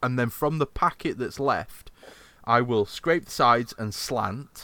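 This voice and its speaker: A man speaks at a medium pitch and a fairly slow pace, his tone bright and sharp, with ordinary pitch variation. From Yorkshire, England. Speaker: podcast host. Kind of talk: casual chat.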